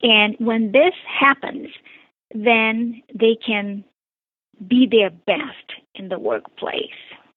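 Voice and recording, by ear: A woman with a Brazilian accent, fairly high in pitch, with ordinary pitch variation, at a very slow pace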